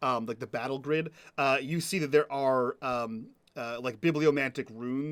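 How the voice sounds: A natural reading voice, with pitch varying an ordinary amount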